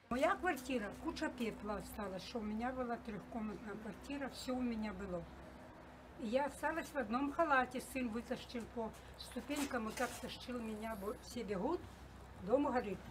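Over noticeable background noise, a woman talks at a moderate pace. Her pitch is high, with ordinary variation. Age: 70s. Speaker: war-affected resident. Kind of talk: street interview. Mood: distressed, grieving loss of home. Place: street.

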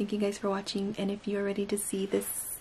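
Somewhat breathy with a dark, mellow tone, a woman talks at a very fast pace over light background noise. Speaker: beauty YouTuber. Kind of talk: makeup tutorial; personal talk to camera. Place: home room. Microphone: phone near.

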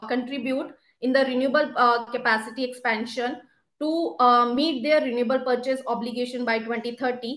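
A woman with a high pitch talks over a quiet background. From India. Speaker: government energy policy official; presenter. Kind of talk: webinar presentation. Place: office. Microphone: video call.

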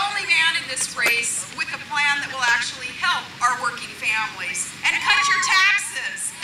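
A woman speaks at a fairly slow pace. Audible room echo and loud background noise surround her. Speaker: speaker. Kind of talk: political rally speech. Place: open country.

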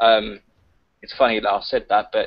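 Quiet background, a man, and a fairly quick pace. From southeast England. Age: 20s. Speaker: caller. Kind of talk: casual chat. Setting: video call. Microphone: video call.

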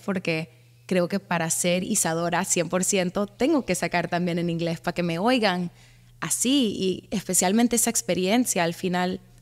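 The woman speaks at a moderate pace with a medium pitch. Her voice has ordinary pitch variation against a quiet background. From US, Miami. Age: 20s. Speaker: singer-songwriter; guest. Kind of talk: interview. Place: studio. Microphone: studio mic.

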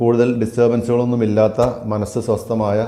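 A man's dark, mellow tone with audible room echo. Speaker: English teacher. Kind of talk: lecture.

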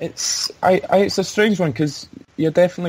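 A man with a Glaswegian accent at a moderate pace, over noticeable background noise. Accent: Glaswegian Scottish. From Scotland, Glasgow. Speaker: sports journalist. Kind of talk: interview. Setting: remote call. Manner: halting.

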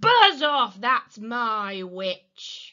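A woman uses a put-on character voice, shrill, croaky and growling, raised and projected at a high pitch. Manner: menacing.

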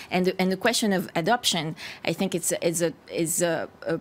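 A woman's fairly low, monotone voice with flat intonation and a French accent, at a moderate pace. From France. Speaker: party spokesperson. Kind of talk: televised panel debate. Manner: halting, with many repetitions. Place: studio.

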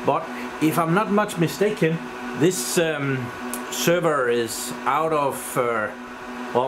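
With noticeable background noise, a man speaks at a very slow pace using lively intonation. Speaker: tech hobbyist vlogger. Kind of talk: casual tech vlog chat. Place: home room. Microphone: phone near.

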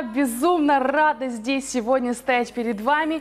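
Faint music plays behind a woman's voice. She speaks high for a woman, with ordinary pitch movement. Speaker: fitness instructor. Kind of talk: workout instruction. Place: gym.

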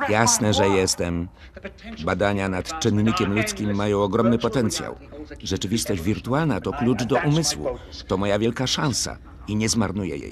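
A man with a fairly low pitch speaks at a moderate pace with lively intonation. Noticeable background noise is present. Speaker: film voice-over lector. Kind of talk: film voice-over reading of dialogue.

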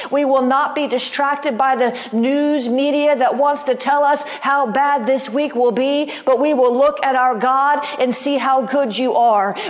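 A woman with a high pitch talks at a fairly slow pace, with hardly any pauses and very even loudness. Noticeable background noise runs under her voice. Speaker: pastor. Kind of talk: fervent prophetic prayer, pleading intercession addressed to God. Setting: online broadcast. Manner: impassioned, repetitive pleading cadence building in intensity; warm, chatty and upbeat when addressing viewers.

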